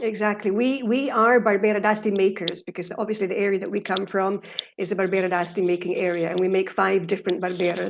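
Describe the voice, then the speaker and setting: Speaking at a very fast pace with a Scottish accent, a woman keeps a medium pitch and fairly even intonation. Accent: Scottish, easy to understand. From Scotland. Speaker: winemaker. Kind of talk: online wine tasting seminar.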